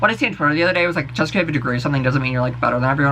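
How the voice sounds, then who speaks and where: The tone is animated. Background noise is noticeable. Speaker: vlogger. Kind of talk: casual rant to camera. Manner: fast.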